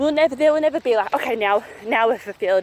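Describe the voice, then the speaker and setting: With an Australian accent, a woman speaks at a high pitch in an energetic tone with lively intonation. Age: 30s. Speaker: mindset coach. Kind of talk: motivational talk to camera. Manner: fast.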